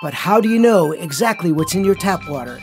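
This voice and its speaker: Music runs underneath the recording. Over it, a man talks at a moderate pace. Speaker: voice actor. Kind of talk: TV commercial read.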